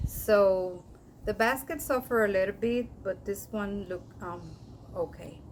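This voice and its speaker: At a fairly slow pace, a woman speaks in a Spanish accent. Her pitch is medium, with ordinary pitch variation. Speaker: orchid collector, video creator. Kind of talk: casual show-and-tell vlog. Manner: halting, with fillers.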